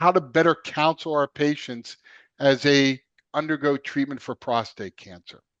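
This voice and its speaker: The speaker has a Philadelphia accent and talks at a moderate pace. The background is quiet. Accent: Philadelphia accent, self-described. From Philadelphia, US. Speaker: podcast host, radiation oncologist. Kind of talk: podcast interview.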